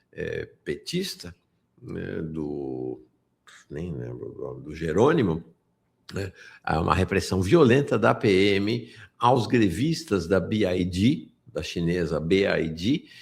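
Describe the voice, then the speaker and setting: A man speaks very slowly at a very deep, low pitch with vocal fry, very wide pitch swings, and big swings in loudness. The recording is very clean, with a silent background. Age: 60s. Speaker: political news commentator. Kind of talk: live political news commentary. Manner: animated, indignant.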